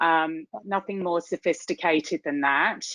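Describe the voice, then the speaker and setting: A woman speaks with a British accent in a dry, close sound with no echo. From UK. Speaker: tech executive, keynote speaker. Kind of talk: keynote talk. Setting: virtual event.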